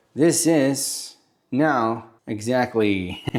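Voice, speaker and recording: A man in a Roman accent with ordinary pitch variation. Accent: Italian (Roman). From Italy, Rome. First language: Italian. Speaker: cooking channel host. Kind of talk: cooking tutorial. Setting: home kitchen. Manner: animated.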